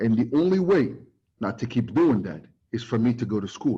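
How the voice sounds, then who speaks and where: The speaker is a man with a medium-pitched voice. It moves up and down by an ordinary amount. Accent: Moroccan. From Morocco, Casablanca. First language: Moroccan Arabic. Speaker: recruiting expert presenter. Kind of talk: webinar talk. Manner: halting, many fillers; code-switching to Arabic.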